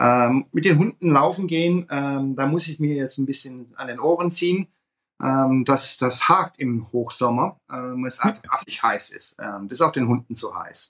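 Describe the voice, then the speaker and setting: A man speaks in a normal speaking voice at a fairly high pitch and a moderate pace. His pitch varies in an ordinary way while his loudness swings widely. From Swabia, Germany. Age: 50s. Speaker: fund industry consultant. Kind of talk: interview.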